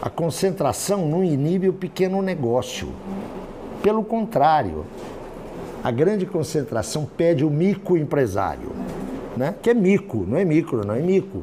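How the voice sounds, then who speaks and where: The speech moves at a fairly slow pace with lively intonation and long, frequent pauses, against noticeable background noise and audible room echo. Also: man, high pitch for a man. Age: 60s. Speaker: professor. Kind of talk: lecture. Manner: conversational, informal.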